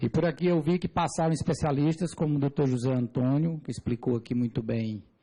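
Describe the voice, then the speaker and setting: Moderate pace, ordinary pitch variation and a somewhat breathy quality. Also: man. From Brazil, Piauí (Teresina). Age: 40s. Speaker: civil engineer giving testimony. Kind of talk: testimony before a parliamentary committee. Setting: parliamentary committee hearing. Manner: formal.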